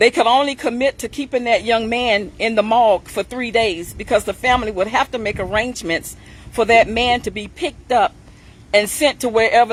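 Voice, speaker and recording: A woman's normal speaking voice, fairly high in pitch, at a fairly quick pace with ordinary pitch variation. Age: 60s. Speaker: funeral plan sales representative. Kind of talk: sales pitch. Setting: livestream.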